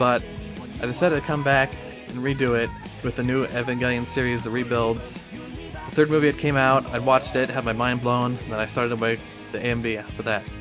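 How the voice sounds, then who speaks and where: Over background music, a man mumbles at a fairly quick pace in a medium pitch with fairly even intonation. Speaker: anime music video editor. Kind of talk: casual talk to camera. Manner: mumbling, stuttering.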